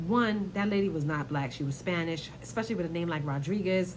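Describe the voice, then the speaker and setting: A woman's fairly low, somewhat breathy voice, very fast and animated, with lively intonation and audible room echo. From New York, Brooklyn. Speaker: YouTuber commentator. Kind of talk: casual commentary vlog.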